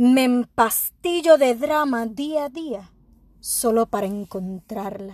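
At a very slow pace, an intense tone rises and falls with lively intonation over a very clean recording with a silent background. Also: woman, fairly high pitch for a woman. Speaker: poet. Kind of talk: spoken word poetry, performed. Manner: intense, emotionally charged, defiant.

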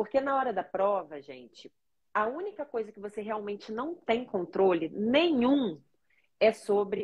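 In a Carioca accent, a woman speaks at a moderate pace and fairly high pitch, with very wide pitch swings and big swings in loudness. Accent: carioca Brazilian Portuguese. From Rio de Janeiro, Brazil. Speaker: language learning coach, neuropsychopedagogue. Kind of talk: live-stream interview.

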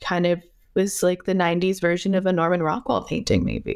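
In a very clean recording with a silent background, a woman with a plain, everyday voice talks at a fairly quick pace, her fairly low pitch carrying fairly even intonation. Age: 20s. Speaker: podcast host. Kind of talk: casual interview.

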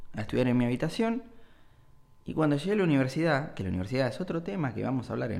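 At a very fast pace, a man speaks in a Rioplatense accent. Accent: Argentine Rioplatense Spanish. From Argentina, Bahía Blanca. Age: 20s. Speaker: podcaster. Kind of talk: solo monologue podcast. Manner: halting, repeats words.

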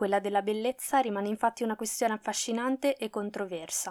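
In an unremarkable speaking voice, a woman talks fairly quickly and fairly high, with fairly even intonation, in a dry, close sound with no echo on a very clean recording with a silent background. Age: 20s. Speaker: podcaster. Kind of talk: scripted personal narration.

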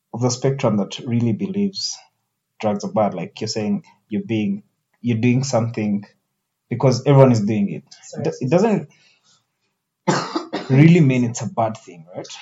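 The voice is somewhat breathy, with very wide pitch swings and long, frequent pauses. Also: man, medium pitch for a man, moderate pace. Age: 20s. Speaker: podcast host. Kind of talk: casual chat.

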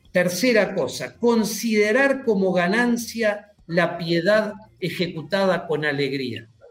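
High male voice at a very slow pace, lively in intonation, with audible room echo. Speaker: church teacher. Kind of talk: religious teaching interview.

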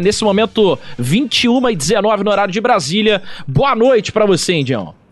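A man's speech at a fairly slow pace, with very wide pitch swings and noticeable background noise. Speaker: podcast host. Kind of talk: casual chat.

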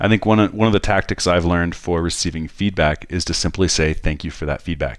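Very deep, low speech from a man, very fast with hardly any pauses and ordinary pitch variation, on a very clean recording with a silent background. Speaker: snowboard instructor and podcast co-host. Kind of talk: casual chat.

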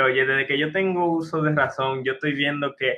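A fairly high-pitched man speaks in an animated tone. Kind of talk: casual chat.

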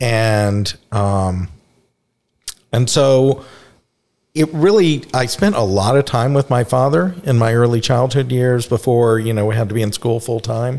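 Speaking in an ordinary speaking voice with an American accent, a man of medium pitch talks at a fairly slow pace with ordinary pitch variation. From Texas, Dallas. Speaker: recovering alcoholic guest. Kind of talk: personal testimony.

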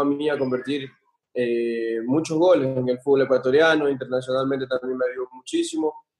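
Fairly even intonation and a moderate pace from a man with an ordinary speaking voice at a fairly high pitch. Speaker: professional footballer. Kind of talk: casual interview.

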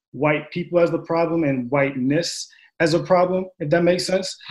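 A man in a plain, everyday voice, at a moderate pace with ordinary pitch variation. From Long Island, New York. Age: 20s. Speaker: psychology doctoral candidate. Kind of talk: panel discussion.

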